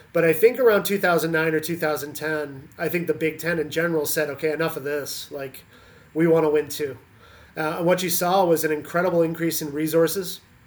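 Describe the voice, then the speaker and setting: A man talks at a fairly quick pace with fairly even intonation in a plain, everyday voice. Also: fairly high pitch for a man. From Canada. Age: 40s. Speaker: college volleyball head coach. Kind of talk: interview.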